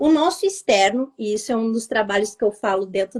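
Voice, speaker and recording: A woman talks at a fairly quick pace in a plain, everyday voice. Her pitch varies in an ordinary way. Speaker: vibrational therapist. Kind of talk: live interview, explaining. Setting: online live stream.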